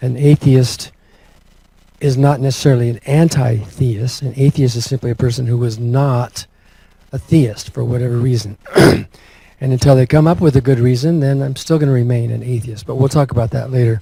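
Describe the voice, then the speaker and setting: A soft-spoken man talks at a fairly quick pace in a medium pitch. His intonation is fairly even, and there is noticeable background noise. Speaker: atheist activist, former minister. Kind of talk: conference talk.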